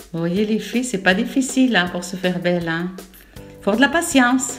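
Ordinary pitch variation at a moderate pace, music playing in the background. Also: woman. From Algeria. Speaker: grandmother. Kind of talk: improvised makeup tutorial voice-over. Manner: chatty, humorous.

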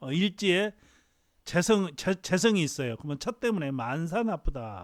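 Very wide pitch swings mark a man's high voice as he speaks at a fairly slow pace, on a very clean, silent-background recording with a dry, close sound and no echo. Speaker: fortune teller. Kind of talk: lecture. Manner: halting.

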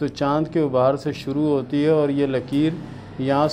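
Delivery is monotone and flat, with light background noise. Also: man. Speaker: palm reader answering viewer questions. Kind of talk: advice talk answering questions. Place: home room.

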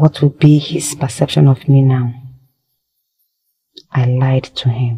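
A woman's put-on character voice, extremely low in pitch, slow, and fairly even in intonation, with a slightly husky edge and a dark, mellow tone.

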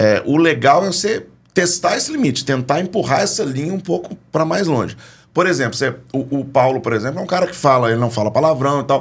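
A somewhat breathy, fairly high-pitched male voice, fairly quick, with lively intonation. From Minas Gerais, Belo Horizonte. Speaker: comedian. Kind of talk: casual chat. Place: studio. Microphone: studio mic.

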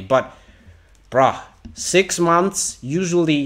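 The speaker is a man. Ordinary pitch variation marks his voice.

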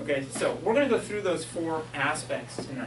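Moderate-paced speech from a man, noticeable background noise around it. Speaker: geology professor. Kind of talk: lecture. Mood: enthusiastic, light humor. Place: hall. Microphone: camera far.

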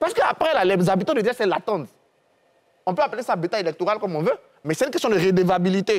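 Against a quiet background, a man with a high voice speaks at a very fast pace with lively intonation. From Côte d'Ivoire. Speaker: historian and security analyst; security analyst. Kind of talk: televised panel debate. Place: studio. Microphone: lapel.

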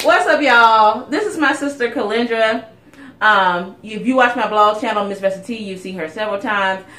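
An animated woman speaks at a fairly high pitch and moderate pace, with ordinary pitch variation. Her loudness swings widely, and room echo is audible. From South Carolina. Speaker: beauty YouTuber; beauty vlogger. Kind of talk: casual chat. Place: home room. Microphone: phone near.

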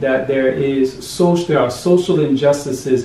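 There is audible room echo and light background noise. A man with an American accent speaks with ordinary pitch variation. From United States. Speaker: diaspora returnee, NGO worker; interviewee. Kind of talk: interview. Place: home room. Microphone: camera far.

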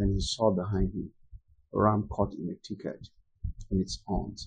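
A man speaks at a moderate pace in a fairly low pitch, his tone dark and mellow. The voice is somewhat breathy against a quiet background. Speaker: preacher teaching. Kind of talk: sermon-style teaching. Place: home room.

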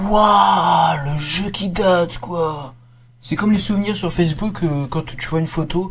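There is light noise in the background. The speech moves at a fairly slow pace. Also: man. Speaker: gaming youtuber. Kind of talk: casual let's play commentary. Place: home room. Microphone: headset.

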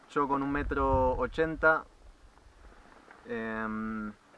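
With an Argentine accent, a man speaks very slowly at a medium pitch, his tone bright, sharp, clear and smooth, with ordinary pitch variation.

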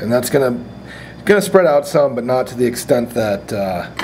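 Faint background noise sits behind a man talking at a moderate pace, his medium-pitched voice slightly mellow in tone with ordinary pitch variation.

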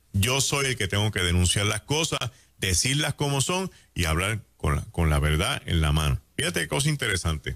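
With a quiet background, a man speaks in a fairly low pitch and an animated tone, his loudness very even while his pitch swings very widely. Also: moderate pace. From Puerto Rico. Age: 60s. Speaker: pastor. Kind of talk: radio talk show commentary. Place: studio. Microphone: studio mic.

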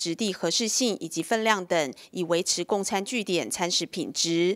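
A woman talks at a fairly slow pace in a Taiwanese accent, with ordinary pitch variation. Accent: Taiwanese Mandarin. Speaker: news reporter. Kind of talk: news reading.

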